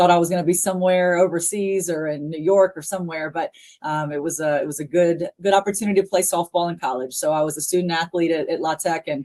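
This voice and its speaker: A dark, mellow voice with a Southern US accent, very fast and with hardly any pauses, against a quiet background. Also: woman, fairly low pitch for a woman, fairly even intonation. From US South, Louisiana. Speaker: college athletics administrator. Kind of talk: interview.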